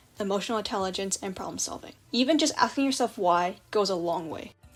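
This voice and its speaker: Background music plays throughout. A woman delivers her words at a very fast pace. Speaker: storytime animator. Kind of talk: advice narration for animation.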